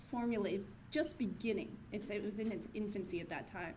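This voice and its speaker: A woman talks at a moderate pace. Audible echo from the room surrounds her voice. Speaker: corporate community partner accepting award. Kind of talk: acceptance speech. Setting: gala stage with audience and mic. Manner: halting.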